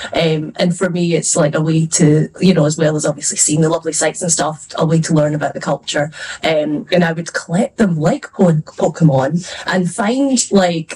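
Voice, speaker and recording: A woman's fairly low voice with a Scottish accent, at a moderate pace with ordinary pitch variation, over noticeable background noise. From Scotland. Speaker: fantasy author. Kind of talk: panel discussion. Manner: casual, hesitant with fillers.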